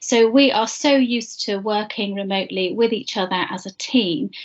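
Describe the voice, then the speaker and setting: A woman in a British accent with fairly even intonation, set against a quiet background. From UK. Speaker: internship program manager. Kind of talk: presentation. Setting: video call. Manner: hesitant fillers. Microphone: video call.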